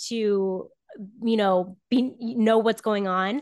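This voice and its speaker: The background is quiet as a woman with an American accent speaks in a plain, everyday voice. Her pitch is fairly high and her intonation fairly even. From Southern Florida. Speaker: former sports journalist, podcaster. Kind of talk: casual interview chat.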